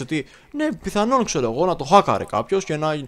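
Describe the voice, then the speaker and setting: The man's intonation is lively. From Greece. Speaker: podcast co-host. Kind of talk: casual chat.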